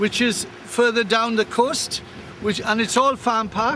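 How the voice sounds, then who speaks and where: Over noticeable background noise, a man talks at a moderate pace with an extremely high pitch. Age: 60s. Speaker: farmer. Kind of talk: walking video commentary. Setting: outdoors. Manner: halting with repetitions.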